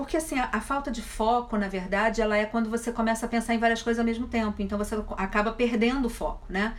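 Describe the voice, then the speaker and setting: Over noticeable background noise, a woman talks at a very fast pace with a fairly high pitch and fairly even intonation. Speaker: online wellness speaker. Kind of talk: live stream Q&A. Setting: Instagram live. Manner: stutters at times.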